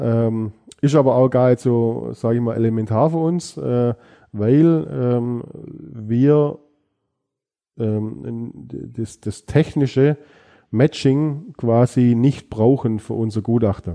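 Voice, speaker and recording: A man with a medium-pitched voice and a dark, mellow tone speaks at a very slow pace, with ordinary pitch variation, long, frequent pauses and a quiet background. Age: 40s. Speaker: police fingerprint expert. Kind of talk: interview.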